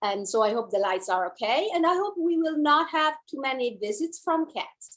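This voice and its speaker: A woman with an Italian accent at a moderate pace, her pitch swinging very widely. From Italy. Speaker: dancer and movement teacher. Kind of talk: online class introduction.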